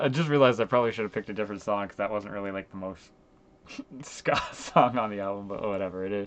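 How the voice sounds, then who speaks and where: Very fast, a man speaks in a fairly low pitch with ordinary pitch variation. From Canada, Ontario. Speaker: music reviewer streamer. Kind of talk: casual commentary. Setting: live stream. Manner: halting, many fillers.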